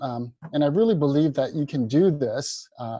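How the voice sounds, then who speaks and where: A man's fairly high voice at a moderate pace. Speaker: dentist lecturer. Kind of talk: webinar lecture. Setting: online webinar. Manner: halting with fillers.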